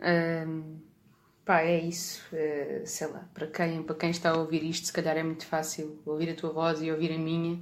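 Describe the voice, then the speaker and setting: On a very clean recording with a silent background, a woman with a fairly low voice speaks at a moderate pace in a monotone, flat way. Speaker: bass player in a rock band. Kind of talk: casual chat.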